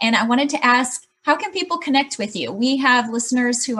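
Fairly quick and with an American accent, a woman with an unremarkable speaking voice talks at a fairly high pitch with ordinary pitch variation. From Chicago. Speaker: podcast host. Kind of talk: interview.

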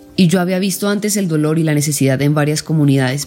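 A woman's very deep, low voice at a very fast pace, over noticeable background noise. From Colombia. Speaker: journalist and producer, former refugee camp volunteer. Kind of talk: first-person testimony narration.

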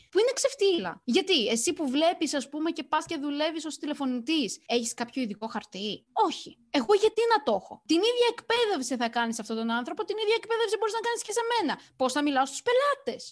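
A woman with a high pitch speaks at a fairly quick pace, her voice making very wide pitch swings. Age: 20s. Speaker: podcaster. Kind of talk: casual chat.

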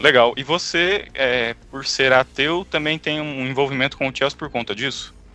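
A man talks at a medium pitch, varying it in an ordinary way, with music playing behind him. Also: big swings in loudness. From Brazil. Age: 20s. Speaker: podcast co-host. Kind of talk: casual chat.

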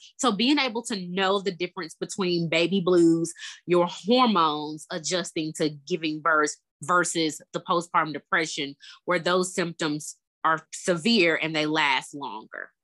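A woman with a bright, sharp tone talks at a fairly slow pace and fairly low pitch, with ordinary pitch variation. The sound is dry and close with no echo, in a very clean recording with a silent background. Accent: Southern US. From Memphis, Tennessee. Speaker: therapist. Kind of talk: interview.

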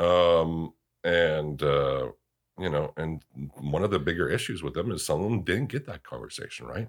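Very deep, low male speech at a moderate pace, featuring vocal fry and lively intonation. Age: 40s. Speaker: widower sharing personal story. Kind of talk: interview about grief.

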